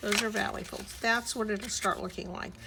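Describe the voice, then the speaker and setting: A woman's voice with audible room echo. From US South, Miami, Florida. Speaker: crafting YouTuber. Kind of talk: tutorial.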